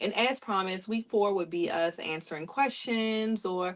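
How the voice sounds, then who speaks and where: Using a plain, everyday voice, a woman speaks at a moderate pace with lively intonation. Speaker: podcast host and family caregiver. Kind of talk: casual podcast interview.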